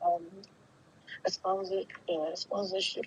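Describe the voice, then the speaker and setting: A soft-spoken woman speaks at a very slow pace. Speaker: caller. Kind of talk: phone-in call to legal advice show. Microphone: breaking up, too quiet.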